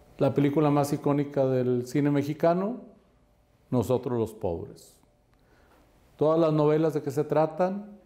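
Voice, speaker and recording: With a dark, mellow tone and a fairly high pitch, a man talks at a fairly slow pace with lively intonation. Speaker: real estate coach and investment adviser. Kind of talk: podcast interview. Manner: animated.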